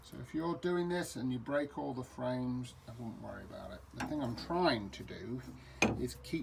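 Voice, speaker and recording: Someone with a British accent speaks amid audible room echo. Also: man. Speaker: amateur DIY renovator. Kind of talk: tutorial. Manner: halting.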